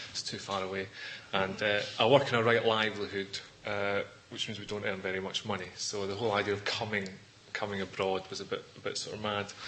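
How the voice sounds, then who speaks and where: With a Scottish accent, a man speaks at a fairly quick pace in a fairly low, monotone, flat voice over noticeable background noise. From Scotland. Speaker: Buddhist teacher. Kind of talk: dharma talk. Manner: fast; clearly enunciated.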